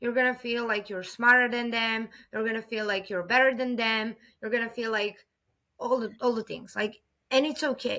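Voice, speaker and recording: Bright, sharp, fairly high voice of a woman with a Serbian accent, on a very clean recording with a silent background. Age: 30s. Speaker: podcast guest. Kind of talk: interview conversation.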